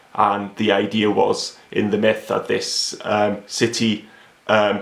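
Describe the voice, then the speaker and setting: The speaker has a Welsh accent. The intonation is monotone and flat. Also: man. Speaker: novelist. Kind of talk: author interview. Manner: hesitant, many fillers.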